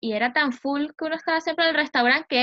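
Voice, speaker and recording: The voice moves at a fairly quick pace with a Venezuelan accent. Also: woman. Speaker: podcast co-host. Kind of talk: casual chat.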